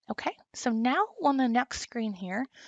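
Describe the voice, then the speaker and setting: Speaking in a Southern US accent, a woman talks at a fairly slow pace. Her high voice has lively intonation. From US South. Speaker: instructional designer. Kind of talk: tutorial.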